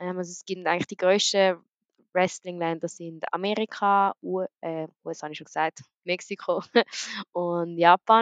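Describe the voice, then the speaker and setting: With an unremarkable speaking voice, a woman speaks at a moderate pace and medium pitch, her intonation fairly even but her loudness swinging widely. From grew up around the world as a diplomat's daughter. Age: young. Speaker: professional wrestler. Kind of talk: casual interview. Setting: online call.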